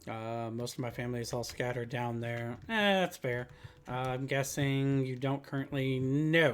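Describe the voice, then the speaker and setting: A man speaks at a moderate pace and medium pitch, with a slight Southern US accent and ordinary pitch variation. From US South. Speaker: streamer. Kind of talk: gameplay commentary with reading dialogue aloud. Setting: live stream.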